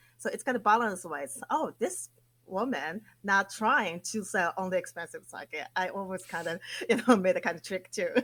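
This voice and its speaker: Lively intonation in a Japanese accent. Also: woman, medium pitch for a woman, moderate pace. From Japan, Akita prefecture. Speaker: sake PR company president. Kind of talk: interview. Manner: animated.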